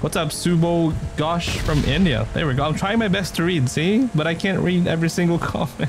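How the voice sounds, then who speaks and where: A man's high-pitched voice with ordinary pitch variation, faint music behind it. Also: fairly quick pace, hardly any pauses. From Philippines. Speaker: gaming streamer. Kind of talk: live game stream commentary. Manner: animated. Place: home room.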